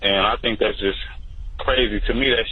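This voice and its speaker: A man with an American accent at a moderate pace, over noticeable background noise. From United States, Milwaukee. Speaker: radio show caller. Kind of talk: call-in radio talk. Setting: phone line. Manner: casual, conversational.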